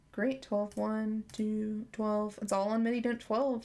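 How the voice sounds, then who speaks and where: The voice is quiet and moves at a moderate pace. Its intonation stays fairly even. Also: woman. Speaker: app developer streamer. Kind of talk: live coding stream. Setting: live stream. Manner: halting.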